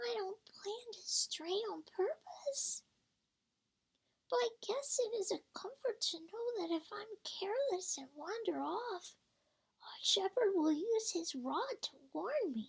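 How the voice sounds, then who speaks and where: The speaker uses a put-on character voice. The delivery comes at a fairly slow pace. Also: woman, extremely high pitch for a woman. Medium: read story. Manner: fretful.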